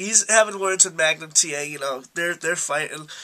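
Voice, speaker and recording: A man speaks in a raised, projected voice. His pace is moderate, with ordinary pitch variation. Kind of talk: casual talk to camera.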